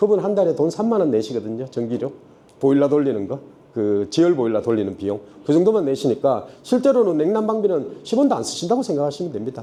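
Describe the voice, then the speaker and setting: Very wide pitch swings mark this man's fairly high voice, which has a dark, mellow tone and races along at a very fast pace. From Daegu, South Korea. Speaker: construction company CEO. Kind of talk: seminar presentation. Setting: stage at trade expo seminar. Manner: casual, conversational.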